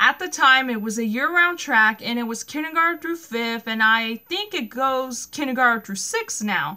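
A woman speaks with an American accent and lively intonation, her high voice bright and sharp in tone. The background is quiet. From US West, California. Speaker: vlogger. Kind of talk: casual personal vlog monologue. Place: home room. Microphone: phone near.

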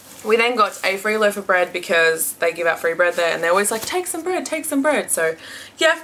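Speaking fairly quickly in an Australian accent, a woman at medium pitch makes very wide pitch swings. Noticeable background noise runs under her voice. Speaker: beauty and haul vlogger. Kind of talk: casual haul video monologue. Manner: chatty with frequent filler words.

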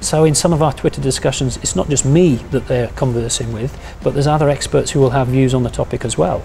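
Talking very fast with fairly even intonation, a man is heard over light background noise. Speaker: university lecturer. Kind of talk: interview answer. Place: office. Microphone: lapel.

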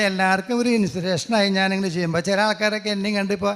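A man talks with a high-pitched voice. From Kerala, Angamaly. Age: 60s. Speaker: real estate agent, former alcoholic. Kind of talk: testimony.

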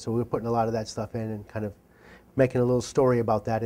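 A man talks in a monotone with flat intonation. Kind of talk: interview answer. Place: studio. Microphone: lapel.

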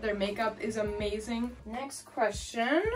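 Faint music plays in the background as a woman speaks at a very slow pace with ordinary pitch variation. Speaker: goth makeup youtuber. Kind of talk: casual vlog chat. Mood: cheerful, chatty. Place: home room. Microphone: camera far.

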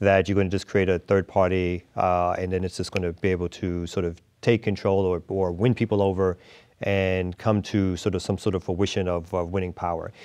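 A man with a very deep, low pitch speaks at a fairly quick pace in a monotone, flat intonation over a quiet background. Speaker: interview guest. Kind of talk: interview answer. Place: studio. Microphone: lapel.

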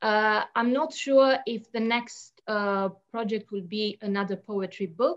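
A woman with a Romanian accent against a quiet background. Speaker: poet. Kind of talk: panel discussion and poetry reading. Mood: calm, reflective. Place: home room. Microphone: video call.

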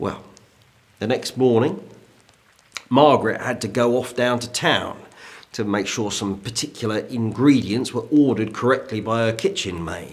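Ordinary pitch variation broken up by long, frequent pauses. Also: man. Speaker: historical character actor. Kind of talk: ghost story telling, period drama. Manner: slow, suspenseful storyteller building dread. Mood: hushed, suspenseful. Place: home room.

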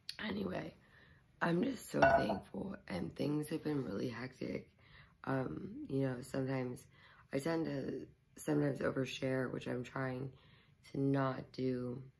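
A woman's very deep, low voice broken by long, frequent pauses. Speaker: YouTuber. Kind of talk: casual vlog. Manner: hesitant with fillers.

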